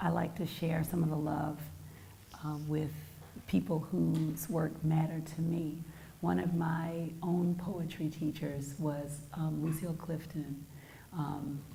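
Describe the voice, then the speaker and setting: Very slowly and in a monotone with flat intonation, a woman speaks in a very deep, low voice, with noticeable background noise and audible room echo. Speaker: poet. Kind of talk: poetry reading.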